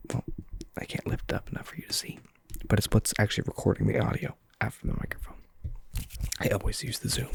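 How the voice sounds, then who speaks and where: Whispering at a very fast pace, the speaker leaves long, frequent pauses. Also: man. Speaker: ASMR content creator. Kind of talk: ASMR soft-spoken rambling. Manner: soft-spoken.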